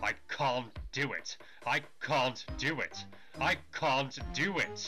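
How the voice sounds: Clear music plays behind a man using a put-on character voice. His pitch is medium and his pace very slow.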